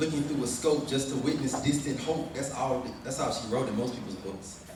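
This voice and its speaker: Noticeable background noise surrounds a man talking at a fairly quick pace. His pitch is fairly high, with fairly even intonation. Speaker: spoken word poet. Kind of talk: spoken word poetry performance. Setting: live at a family reunion.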